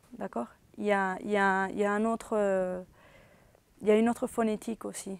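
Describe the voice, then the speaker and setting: A woman's medium-pitched voice at a fairly slow pace, monotone and flat in intonation, on a very clean recording with a silent background. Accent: Spanish. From Venezuela. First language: Spanish (speaking French). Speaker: interviewee, former student. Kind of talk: interview testimony. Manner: hesitant, with false starts.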